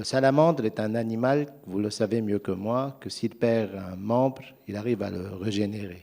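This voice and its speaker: A man with a non-native accent, fairly low in pitch with ordinary pitch variation, dark and mellow in tone, at a moderate pace, in a very clean recording with a silent background. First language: not French (speaking French). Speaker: private equity investor. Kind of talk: panel discussion.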